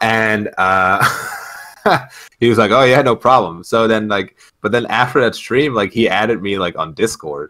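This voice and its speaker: A man's medium-pitched voice with a bright, sharp tone, ordinary pitch variation and a moderate pace. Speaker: gaming podcast co-host. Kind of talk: casual chat. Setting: online voice call while streaming. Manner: loud. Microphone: mic cutting out on stream.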